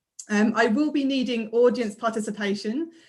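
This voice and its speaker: The voice is somewhat breathy. Its pitch variation is ordinary. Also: woman. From London, Croydon. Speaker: maths lecturer and author. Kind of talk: casual chat and magic trick demonstration.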